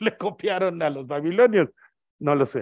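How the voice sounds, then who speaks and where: Pitch varies in an ordinary way against a quiet background. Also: man. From Mexico. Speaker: astronomer, invited speaker; guest lecturer. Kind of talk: lecture. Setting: auditorium with audience, also streamed on video call. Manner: loud. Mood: relaxed, humorous. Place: hall.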